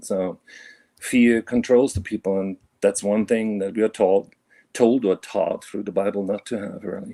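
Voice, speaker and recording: With a German accent, a man talks at a moderate pace in a fairly low, dark, mellow voice with fairly even intonation. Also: dry, close sound with no echo. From Germany (Bavaria). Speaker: caller. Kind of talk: casual chat. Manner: halting, many fillers.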